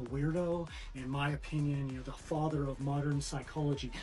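Faint music plays behind a man who talks at a moderate pace with fairly even intonation. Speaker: vlogger. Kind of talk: casual vlog chat. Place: kitchen. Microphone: phone near.

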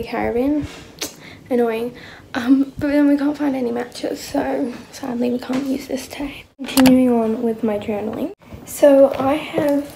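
A woman with a high pitch talks at a fairly slow pace in a monotone, flat intonation, with noticeable background noise behind her. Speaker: vlogger. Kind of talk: casual vlog chat. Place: home room. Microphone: phone near.

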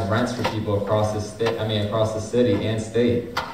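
A man talks in a monotone, flat intonation, with audible room echo and noticeable background noise. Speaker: community and labor organizer. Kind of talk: speech at a teach-in panel. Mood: critical, advocating. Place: hall. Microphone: camera far.

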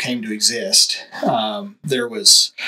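His pitch rises and falls very widely. This voice belongs to a man. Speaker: guest. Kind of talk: interview answer. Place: studio. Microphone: studio mic.

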